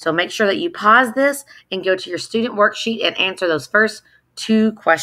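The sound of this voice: The background stays quiet. Over it comes an unforced reading voice.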